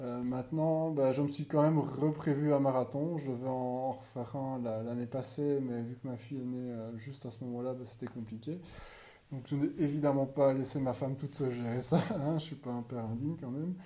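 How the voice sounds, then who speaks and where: A man with a dark, mellow tone and fairly even intonation. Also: medium pitch for a man, moderate pace. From Belgium. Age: 30s. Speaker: podcaster. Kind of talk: casual monologue. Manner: halting.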